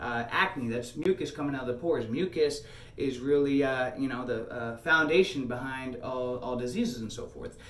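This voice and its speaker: Noticeable background noise and audible room echo surround the recording. A man speaks in a medium pitch with fairly even intonation. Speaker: health coach, video blogger. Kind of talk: casual monologue to camera. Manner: fast, hyped; many fillers, halting.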